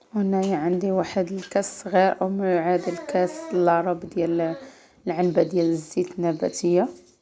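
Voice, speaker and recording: At a moderate pace, a woman with a Moroccan accent speaks with a fairly low pitch and fairly even intonation. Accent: Moroccan Arabic (Darija). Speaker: cooking channel host. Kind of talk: cooking tutorial.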